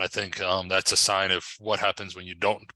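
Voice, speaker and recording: In an American accent, a voice with a bright, sharp tone comes through dry and close with no echo against a quiet background. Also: man. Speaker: historian, livestream host. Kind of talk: casual panel discussion. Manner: halting, many fillers.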